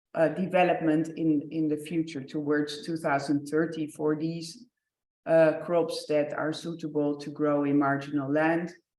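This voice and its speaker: With audible room echo, a woman speaks in a very deep, low voice, monotone and flat, at a fairly slow pace. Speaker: researcher presenting project results. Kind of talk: conference presentation. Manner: hesitant, many fillers.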